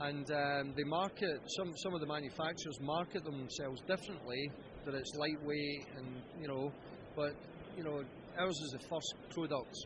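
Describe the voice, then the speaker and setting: A man with a Scottish accent, fairly high pitch and fairly even intonation. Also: moderate pace. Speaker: golf club company founder. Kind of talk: interview answer.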